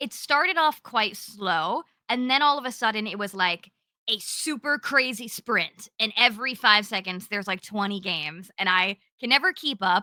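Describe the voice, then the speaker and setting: A woman with fairly high pitch speaks loudly at a moderate pace, her intonation lively and her tone animated, energetic, bright and sharp. The sound is dry and close with no echo. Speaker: cozy gaming content creator. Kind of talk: casual podcast chat. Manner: loud, energetic.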